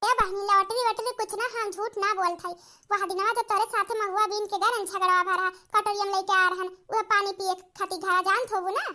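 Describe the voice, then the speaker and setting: Using a cartoonish character voice, a woman talks fairly quickly at an extremely high pitch with monotone, flat intonation. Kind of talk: comic cartoon acting.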